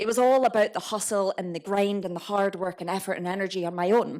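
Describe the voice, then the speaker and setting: A woman talks at a fairly quick pace in a Scottish accent. Her medium-pitched voice has an animated tone. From Scotland, Edinburgh. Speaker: entrepreneur. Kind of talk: talk to a live audience.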